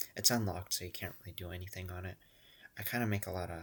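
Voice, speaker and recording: At a very fast pace, a man with a very deep, low pitch sounds somewhat breathy in a very clean recording with a silent background. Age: 20s. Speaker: vlogger. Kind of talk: casual monologue. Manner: soft-spoken; rambling, halting.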